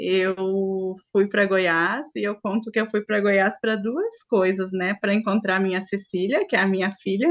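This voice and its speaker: A woman speaks at a fairly slow pace in a strong gaúcho accent. Her pitch sits in the middle range and her intonation stays fairly even. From Rio Grande do Sul, Brazil. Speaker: spiritual group facilitator. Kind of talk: online group talk.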